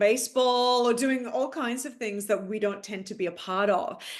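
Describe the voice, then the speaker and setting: A woman speaks with an Australian accent, her pitch fairly high and its variation ordinary. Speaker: actress. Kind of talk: casual interview chat.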